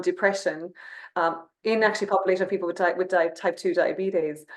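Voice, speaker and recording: Very fast and monotone, with flat intonation, a woman with an Irish accent speaks at a medium pitch. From Ireland. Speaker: company CEO. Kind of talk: webinar conversation.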